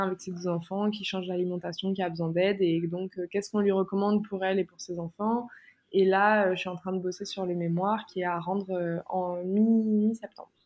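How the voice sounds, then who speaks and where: At a moderate pace, a woman with a medium-pitched voice speaks in a flat monotone. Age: 20s. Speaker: plant-based nutrition content creator. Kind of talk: casual interview chat.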